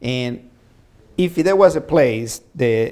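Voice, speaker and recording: Dark, mellow tone in a man's voice of medium pitch. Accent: Spanish. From Latin America, immigrant. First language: Spanish. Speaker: talk show host. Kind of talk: interview.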